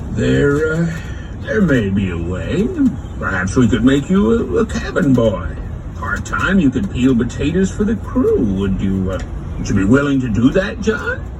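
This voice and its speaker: Over loud background noise, a man puts on a gruff character voice at a medium pitch and moderate pace. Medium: audio drama.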